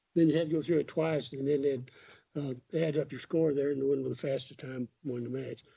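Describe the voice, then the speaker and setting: In a Texan accent, a man talks at a fairly quick pace with a fairly high pitch, a dark, mellow tone and monotone, flat intonation. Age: 80s. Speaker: veteran fast draw shooter. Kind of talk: casual interview chat.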